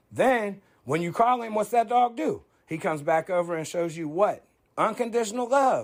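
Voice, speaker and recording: A man speaks loudly in a high voice with a passionate, animated tone. His intonation is lively and his pace is moderate. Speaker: online commentator. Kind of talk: opinion monologue. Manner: loud and passionate.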